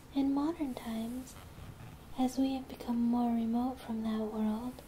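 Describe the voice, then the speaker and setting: Soft-spoken whispering against noticeable background noise. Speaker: ASMR creator. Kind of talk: ASMR poetry reading. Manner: soft-spoken, whispered.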